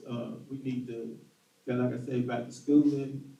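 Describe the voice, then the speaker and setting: A man speaks in a monotone, flat intonation with an American accent, and audible room echo surrounds his voice. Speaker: political candidate. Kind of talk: political forum answer. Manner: halting.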